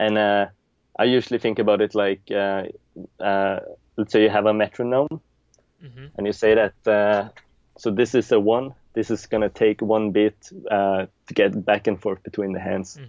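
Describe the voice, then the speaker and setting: A man with a Norwegian accent speaks at a fairly low pitch with fairly even intonation and big swings in loudness. The sound is dry with no echo, over a quiet background. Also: moderate pace. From Norway, Stavanger; Norway. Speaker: juggler; interview guest. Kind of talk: interview. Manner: hesitant, many fillers. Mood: relaxed, reminiscing. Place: home room. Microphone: video call.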